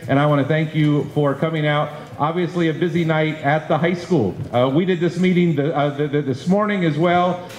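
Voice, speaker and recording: A man speaks at a moderate pace with hardly any pauses and fairly even intonation. The room echo is audible, and there is light background noise. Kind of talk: public meeting address. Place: classroom. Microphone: handheld.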